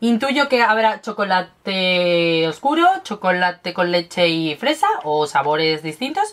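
A woman at a medium pitch speaks at a fairly slow pace with an animated tone and very wide pitch swings. Her loudness stays very even, with hardly any pauses. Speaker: beauty and lifestyle youtuber; lifestyle youtuber. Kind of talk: unboxing and tasting video. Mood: playful, chatty. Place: home room. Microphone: webcam.

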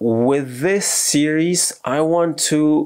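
A man talks with an American accent. The background is quiet. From United States. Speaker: expat vlogger. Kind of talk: casual talk to camera. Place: home room.

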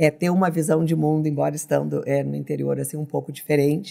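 A woman with a southern Brazilian accent speaks over a quiet background. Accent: gaúcho. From southern Brazil, Rio Grande do Sul. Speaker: business leader, political scientist; podcast guest. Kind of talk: interview. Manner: hesitant, many fillers. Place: studio. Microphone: studio mic.

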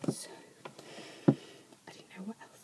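Whispering comes from a woman. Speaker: ASMR creator. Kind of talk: ASMR whispered talk to camera. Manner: whispered, soft.

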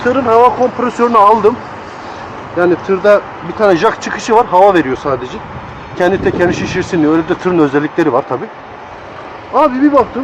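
With long, frequent pauses, a man talks at a fairly quick pace in a high voice that swings very widely in pitch, with noticeable noise behind him. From Tokat, Turkey. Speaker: international truck driver. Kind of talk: casual vlog talk to camera. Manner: informal, slangy, chatty.

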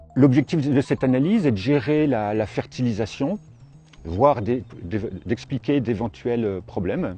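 Faint music plays in the background as a man speaks at a fairly slow pace in a dry sound with no echo. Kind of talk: interview explanation. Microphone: lapel.

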